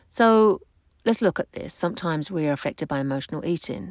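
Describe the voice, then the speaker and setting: In a very clean recording with a silent background and a dry, close sound with no echo, a woman speaks at a moderate pace in a very deep, low voice with lively intonation. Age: 50s. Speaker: weight-loss coach and podcast host. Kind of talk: solo podcast talk. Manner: casual.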